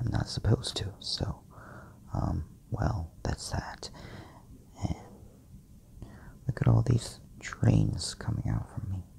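A man whispers. His pace is very slow. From Korea. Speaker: patient vlogger. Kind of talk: casual vlog talk to camera. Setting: hospital bed. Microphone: phone near.

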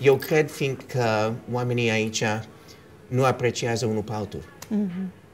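A man speaks at a fairly slow pace with lively intonation over light background noise. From New York, USA (left Romania as a child). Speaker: actor and film producer; interviewee. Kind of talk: casual interview; interview answer. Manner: code-switching, hesitant. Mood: relaxed, reflective. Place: home room. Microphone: lapel.

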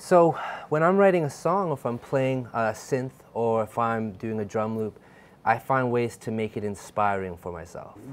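A man's speech carries lively intonation and moves at a moderate speed. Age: 20s. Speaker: music producer and songwriter; guest. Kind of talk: casual chat. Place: studio. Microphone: lapel.

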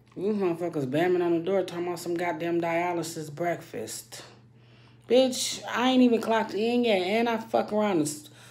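A woman with a fairly low pitch speaks at a moderate pace with lively intonation. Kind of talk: casual vlog rant. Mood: irritated, venting. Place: bathroom. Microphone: phone near.

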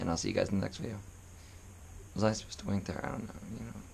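Amid noticeable background noise and audible room echo, a man speaks at a fairly low pitch with monotone, flat intonation. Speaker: vlogger. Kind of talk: casual vlog outro. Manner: voice cracking.

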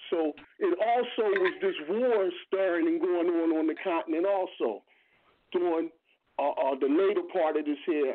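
A man's voice at a moderate pace, with very even loudness throughout. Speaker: regular participant in a reading discussion. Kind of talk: casual call-in discussion. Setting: phone call.

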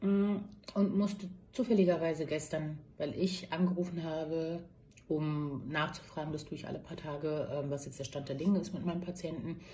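Over light background noise, a woman talks at a moderate pace in a fairly low, somewhat breathy voice with a dark, mellow tone and fairly even intonation. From Berlin, Germany. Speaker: nurse. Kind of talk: personal testimony monologue. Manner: hesitant with many fillers. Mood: upset, earnest appeal. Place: office. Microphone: phone near.

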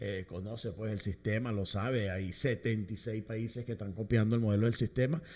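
A man speaks in a dark, mellow tone. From Venezuela, Caracas. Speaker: musician and orchestra conductor; guest. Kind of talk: interview. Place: studio. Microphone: studio mic.

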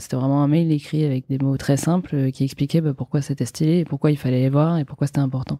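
This woman has a very deep, low pitch and a dark, mellow tone, with fairly even intonation. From France, Brittany (Vannes). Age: 20s. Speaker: entrepreneur, founder of women's wellness brand. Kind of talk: casual interview.

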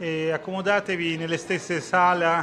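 A man with an Italian accent at a very slow pace, over light background noise. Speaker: conference moderator. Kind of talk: formal announcement. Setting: stage with audience. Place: hall.

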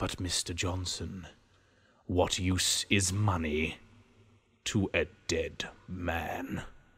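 A man with a very deep, low pitch speaks at a very slow pace in a monotone, flat intonation, with long, frequent pauses. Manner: menacing, calm.

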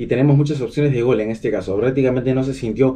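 Ordinary rises and falls in pitch run through a dark, mellow tone. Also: man. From Peru. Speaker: football fan channel host; football fan commentator. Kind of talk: match analysis vlog. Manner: animated, many fillers. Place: home room.

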